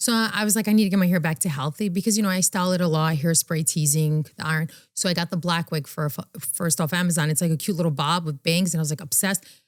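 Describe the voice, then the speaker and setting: In a New York accent, a woman talks very fast in a fairly low voice with ordinary pitch variation. The recording is very clean, with a silent background. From New York City, the Bronx. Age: 30s. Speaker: fashion influencer and content creator. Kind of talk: podcast interview answer.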